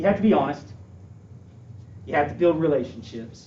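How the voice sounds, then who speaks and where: A man's fairly high voice with vocal fry and very wide pitch swings, in audible room echo. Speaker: school administrator candidate. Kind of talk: interview Q&A. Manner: fast; animated.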